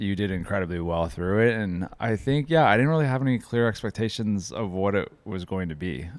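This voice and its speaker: With lively intonation and a moderate pace, a man talks in a very deep, low pitch. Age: 40s. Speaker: podcast host's husband. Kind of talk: casual chat.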